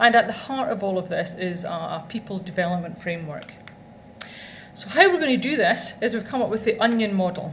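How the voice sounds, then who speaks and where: A woman with a Scottish accent and a medium-pitched voice, lively intonation and a fairly quick pace, amid noticeable background noise and audible room echo. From Scotland. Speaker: law firm executive. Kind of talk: conference presentation. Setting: stage with audience.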